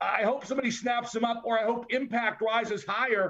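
A man talks at a moderate pace with a high pitch. His tone is bright and sharp, and his intonation is fairly even. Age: 60s. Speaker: wrestling podcast co-host. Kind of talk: casual chat.

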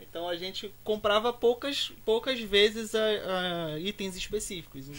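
There's noticeable background noise. A high-pitched man speaks at a fairly slow pace. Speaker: designer and youtuber. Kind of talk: casual chat.

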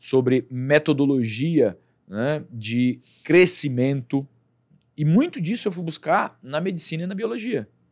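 This man talks at a fairly slow pace with lively intonation. He has a normal speaking voice. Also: fairly high pitch for a man. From Brazil, Acre (Rio Branco). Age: 40s. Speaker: doctor and entrepreneur. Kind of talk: interview.

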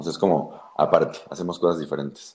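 This man's voice is very deep and low. His intonation stays fairly even. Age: 20s. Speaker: lobbyist and tarot reader. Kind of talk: tarot reading; casual interview chat.

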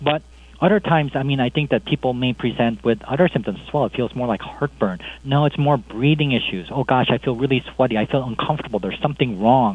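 Words pour out at a very fast pace with an American accent. The pitch variation is ordinary. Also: man, medium pitch for a man. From US Midwest, Chicago. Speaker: cardiologist. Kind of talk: interview. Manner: halting, many fillers.

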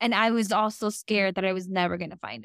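On a very clean recording with a silent background and a dry, close sound with no echo, a woman uses a normal speaking voice at a medium pitch with fairly even intonation. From Mexico, then Brownsville, Texas. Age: 30s. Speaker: business owner. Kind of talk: casual interview chat.

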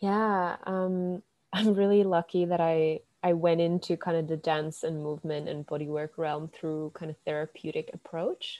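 In a Finnish accent, a woman speaks with a dark, mellow tone at a fairly low pitch and fairly even intonation, the sound dry and close with no echo against a quiet background. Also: moderate pace. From Finland. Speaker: dance and bodywork practitioner. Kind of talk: casual interview.

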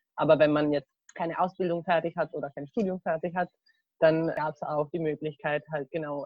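The voice belongs to a woman with a fairly low pitch. She keeps a moderate pace. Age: 20s. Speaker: university student. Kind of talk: casual chat. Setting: video call from a garden. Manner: halting.

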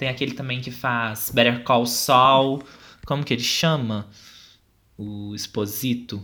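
A man speaks at a fairly slow pace, his medium-pitched voice bright and sharp in tone. His intonation stays fairly even. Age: 20s. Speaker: podcast co-host. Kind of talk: casual chat.

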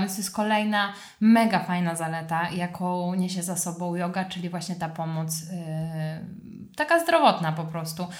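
The voice is somewhat breathy, with fairly even intonation and audible room echo. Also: woman. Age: 20s. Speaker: yoga teacher. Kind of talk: casual chat.

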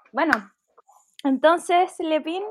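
A woman speaks in a Chilean accent. Her intonation is lively. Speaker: podcast co-host. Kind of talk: solemn commemoration; casual chat.

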